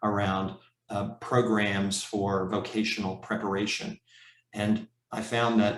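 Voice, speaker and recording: In a normal speaking voice, a man talks at a fairly slow pace with a fairly low pitch. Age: 60s. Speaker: professor and leadership coach. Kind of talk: conference talk.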